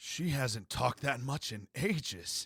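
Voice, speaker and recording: In a put-on character voice, a man speaks raspily at medium pitch. His intonation is lively and his pace fairly slow. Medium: read story. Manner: reserved, terse.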